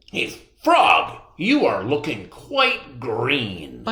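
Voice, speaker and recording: Using a put-on character voice, a man speaks raspy and at a very slow pace. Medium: read story. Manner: earnest, fretful.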